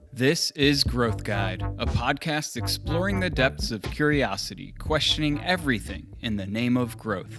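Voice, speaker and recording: A man speaks at a fairly slow pace in a fairly low voice, with very wide pitch swings. He hardly pauses, and music plays in the background. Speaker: podcast host. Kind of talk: podcast intro.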